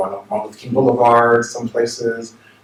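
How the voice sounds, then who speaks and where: A man with an American accent and a medium pitch, amid noticeable background noise. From New York / New Jersey area. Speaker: minister. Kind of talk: seminar talk. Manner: conversational, with many fillers.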